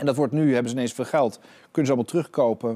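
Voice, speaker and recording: A man with a fairly high pitch, a dark, mellow tone and ordinary pitch variation. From Netherlands. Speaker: art dealer and auctioneer; guest. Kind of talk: interview. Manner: halting. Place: studio. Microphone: lapel.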